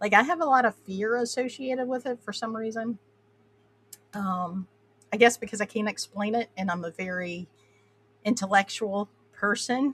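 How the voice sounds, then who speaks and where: A woman with a fairly high pitch and an American accent speaks at a moderate pace with ordinary pitch variation and long, frequent pauses in a dry, close sound with no echo. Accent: Appalachian twang, comes out when tired. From Appalachia, US. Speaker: podcast host. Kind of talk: casual interview chat. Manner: halting, many fillers.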